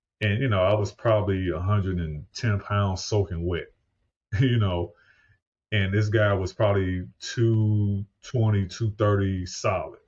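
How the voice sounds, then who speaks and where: Speaking with an American accent, a man talks at a fairly slow pace in a fairly low, somewhat breathy voice with fairly even intonation. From US Midwest (St. Louis, Missouri). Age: 50s. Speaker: podcast host and paramedic. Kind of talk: podcast interview. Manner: conversational.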